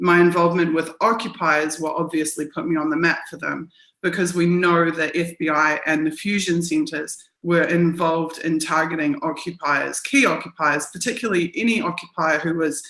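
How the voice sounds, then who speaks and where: A woman with a New Zealand accent speaks at a moderate pace and fairly low pitch, with ordinary pitch variation. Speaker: journalist and activist. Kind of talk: interview.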